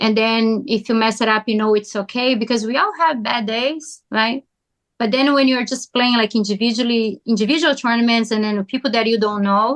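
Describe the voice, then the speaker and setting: A woman with a Brazilian Portuguese accent speaks at a moderate pace and a fairly high pitch, with fairly even intonation and very even loudness. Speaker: pickleball player. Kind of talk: podcast interview. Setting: podcast.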